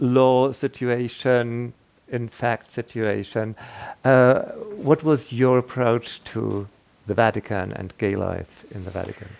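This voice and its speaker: Fairly even intonation carries this very slowly paced speech. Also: man, medium pitch for a man. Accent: German. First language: German. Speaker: radio interviewer. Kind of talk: interview. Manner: halting.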